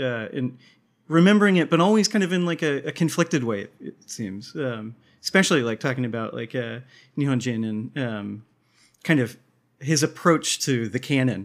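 With lively intonation, a man talks at a moderate pace in a medium pitch, on a very clean recording with a silent background. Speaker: podcast co-host. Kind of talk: casual chat. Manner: hesitant, many filler words.

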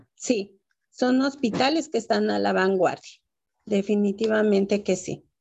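The pace stays fairly slow. It is an ordinary speaking voice, and the pitch moves in an ordinary way. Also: woman, medium pitch for a woman. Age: 60s. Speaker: author and mother caregiver. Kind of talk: interview testimony.

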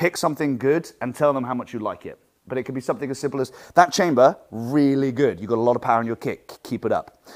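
An energetic tone with an English accent comes at a very fast pace. Pitch variation is ordinary. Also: man, medium pitch for a man. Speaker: martial arts instructor. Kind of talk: seminar talk. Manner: projected from the diaphragm.

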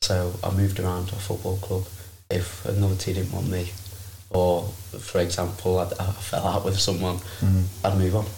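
Somewhat breathy speech at a moderate pace with monotone, flat intonation and audible room echo. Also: man, very deep, low pitch for a man. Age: 20s. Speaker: personal trainer. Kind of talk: casual chat.

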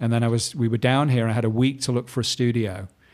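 Over a silent background in a very clean recording, a man speaks at medium pitch with fairly even intonation. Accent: English. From northern England, Manchester. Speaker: painter and former fashion illustrator. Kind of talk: casual interview.

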